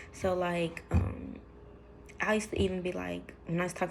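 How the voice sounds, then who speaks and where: A woman talks at a moderate pace. Audible room echo surrounds her voice. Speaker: vlogger. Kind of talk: personal testimony vlog. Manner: mumbles when emotional, drops low; hesitant, many fillers.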